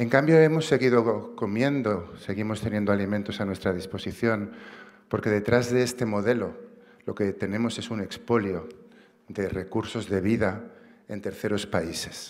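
Against a quiet background, a man talks at a moderate pace in a fairly low voice with ordinary pitch variation. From Barcelona, Catalonia. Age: 50s. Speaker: activist and writer, award recipient. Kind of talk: acceptance speech. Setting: stage with audience. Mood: earnest, reflective. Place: stage. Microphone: podium.

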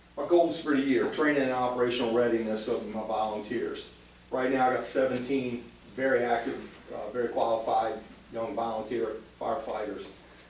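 Fairly quick speech with fairly even intonation carries audible room echo and noticeable background noise. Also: man, medium pitch for a man. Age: 60s. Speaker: volunteer fire chief. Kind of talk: report to a council meeting. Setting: borough council meeting. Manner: halting, many fillers and repeats.

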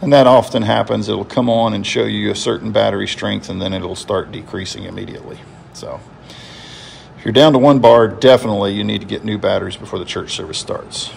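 Over light background noise, a man talks at a very fast pace with big swings in loudness. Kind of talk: tutorial. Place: church. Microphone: phone near.

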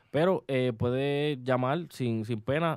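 A man talks in a normal speaking voice at a medium pitch. His intonation is fairly even. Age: 20s. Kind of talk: casual chat. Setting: studio.

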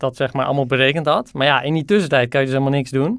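Quickly rattling along at a very fast pace, a man speaks at a fairly high pitch with fairly even intonation. The recording is very clean, with a silent background. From Netherlands, Haarlem area. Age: 20s. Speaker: PhD student, thesis prize nominee. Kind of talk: interview. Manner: hesitant, many fillers.

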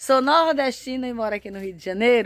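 A woman's high-pitched voice, dry with no echo. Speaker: home vlogger. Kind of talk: casual vlog chat. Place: garden. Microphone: phone near.

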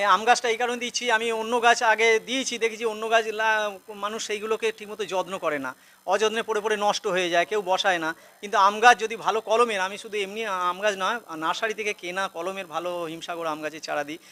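The voice is raised and projected, with a bright, sharp tone. The recording is very clean, with a silent background. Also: man, high pitch for a man, ordinary pitch variation. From West Bengal, Hooghly district. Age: 50s. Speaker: primary school headmaster and awareness campaigner. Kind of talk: street interview.

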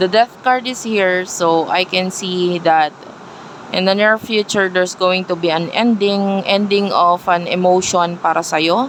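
Over noticeable background noise, a woman speaks at a fairly slow pace with medium pitch and fairly even intonation. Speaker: tarot reader. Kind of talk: tarot reading video. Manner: loud.

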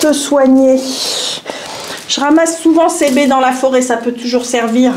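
A woman's put-on character voice, high in pitch, over clear background noise. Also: moderate pace. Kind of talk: casual folksy talk. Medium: actual play. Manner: warm, chatty, teasing.

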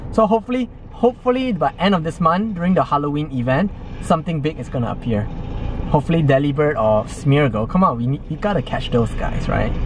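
A man's very fast speech, dry with no echo, against noticeable background noise. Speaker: game vlogger. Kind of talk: casual vlog chat. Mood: cheerful, laughing. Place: car. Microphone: phone near.

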